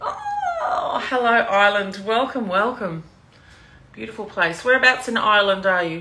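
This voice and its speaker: A woman speaks with an Australian accent at a moderate pace, her pitch fairly high and her intonation lively. Room echo is audible and background noise is noticeable. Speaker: cooking demonstrator, sales team leader. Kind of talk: live cooking demo stream. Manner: casual, chatty.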